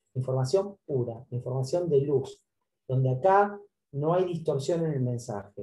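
This man's voice is somewhat breathy, with a fairly high pitch and a dark, mellow tone. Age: 50s. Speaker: author and publicist. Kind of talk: interview about his book.

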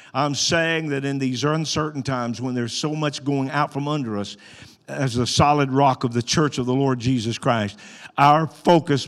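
A man with an Arkansas accent, medium in pitch, at a moderate pace. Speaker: pastor. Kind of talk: sermon. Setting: church. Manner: animated.

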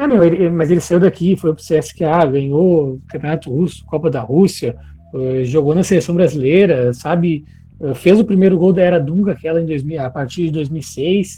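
With a dark, mellow tone, a man speaks at a fairly high pitch and a moderate pace, with ordinary pitch variation. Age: 20s. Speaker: football podcast co-host. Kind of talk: casual chat.

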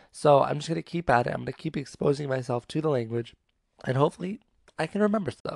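Dry and close with no echo, the recording captures a man with an American accent and a fairly high pitch. He talks at a very fast pace with lively intonation. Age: 20s. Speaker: podcaster. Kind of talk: casual monologue. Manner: casual, filler-heavy.

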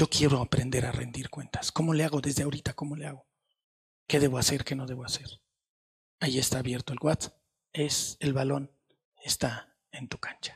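Recorded with a dry, close sound and no echo, a man with a fairly high pitch speaks somewhat breathily at a moderate pace, monotone and flat, leaving long, frequent pauses. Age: 60s. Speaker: pastor. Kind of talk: sermon.

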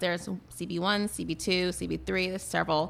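A woman's bright, sharp, medium-pitched voice at a moderate pace, on a very clean recording with a silent background. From Boston, Massachusetts. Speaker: skincare business owner. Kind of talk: casual radio interview. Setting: radio studio.

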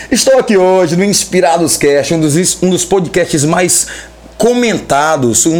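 Over noticeable background noise, a man with a high pitch speaks at a fairly slow pace, his animated tone and lively intonation standing out. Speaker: podcast host. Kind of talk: casual chat.

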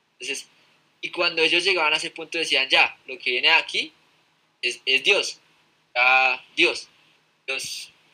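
A man's fairly high voice, bright and sharp in tone, with ordinary pitch variation, a fairly slow pace and long, frequent pauses. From Colombia, Fusagasugá. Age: 20s. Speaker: podcast guest. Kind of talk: casual chat. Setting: live stream.

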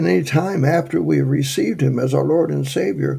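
This man's dark, mellow voice carries vocal fry and swings very widely in pitch. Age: 70s. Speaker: evangelist. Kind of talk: sermon. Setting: radio broadcast. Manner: halting.

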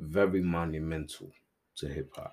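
A man at a fairly slow pace with a very deep, low pitch. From New York, Brooklyn. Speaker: podcast host. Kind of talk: casual chat. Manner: animated.

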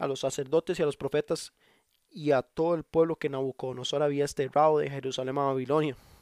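On a very clean recording with a silent background, a man with a Costa Rican accent talks at a fairly quick pace in a fairly high, monotone, flat voice. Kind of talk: devotional monologue. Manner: halting.

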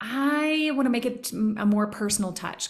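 Somewhat breathy speech from a woman, carrying audible room echo. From Tennessee. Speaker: business consultant and coach. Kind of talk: casual interview chat.

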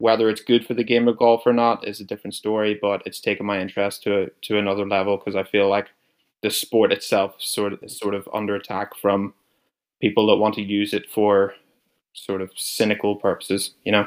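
Over a very clean recording with a silent background, a man with a Northern Irish accent speaks at a fairly quick pace with a fairly low pitch and monotone, flat intonation. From Northern Ireland. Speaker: podcast co-host. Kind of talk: casual chat.

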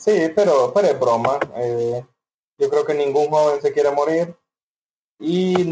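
A man speaks at a fairly slow pace. His pitch is fairly high, and it is a plain, everyday voice. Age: young. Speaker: podcast co-host. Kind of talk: casual chat.

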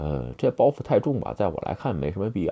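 Very wide pitch swings and vocal fry run through a man's speech at a very fast pace. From China. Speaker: video blogger. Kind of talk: casual monologue. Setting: handheld phone recording. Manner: hesitant, many fillers.

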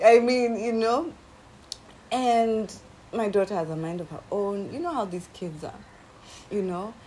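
Amid noticeable background noise, a woman with a fairly high, animated voice and lively intonation talks at a fairly slow pace, with long, frequent pauses and big swings in loudness. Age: 40s. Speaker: podcast co-host. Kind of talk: casual chat.

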